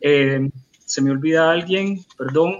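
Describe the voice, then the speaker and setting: Fairly even intonation and a fairly high pitch come from a man with a plain, everyday voice. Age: 40s. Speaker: literary critic. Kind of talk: book presentation.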